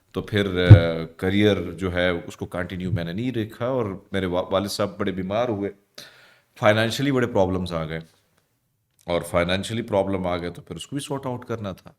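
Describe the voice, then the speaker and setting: A man talks in a normal speaking voice at a fairly low pitch with ordinary pitch variation. His loudness swings widely. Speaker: news anchor and radio host. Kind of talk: interview. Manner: casual.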